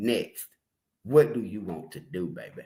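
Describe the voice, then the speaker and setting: Using an animated tone with vocal fry, a man speaks with very wide pitch swings. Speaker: live streamer commenting on news. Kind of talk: live stream commentary.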